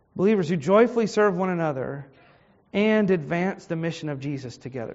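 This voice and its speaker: With a Virginia accent, this man talks at a moderate pace, his voice high-pitched with lively intonation. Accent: Virginia Southern American. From US South, Richmond, Virginia. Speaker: pastor. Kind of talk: Bible study lesson. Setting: church.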